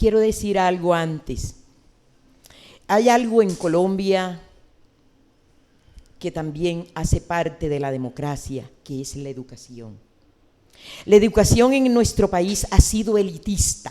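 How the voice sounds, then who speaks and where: Speaking at a very slow pace with long, frequent pauses, a woman has a fairly low pitch and a dark, mellow tone. Her intonation is lively, and her loudness swings widely. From Colombian Caribbean coast (Sucre region). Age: 70s. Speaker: social leader and senator. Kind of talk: TV interview.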